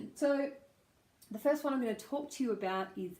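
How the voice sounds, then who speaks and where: Lively intonation marks this speech with an Australian accent. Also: woman. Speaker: speech pathologist. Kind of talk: pronunciation lesson to camera.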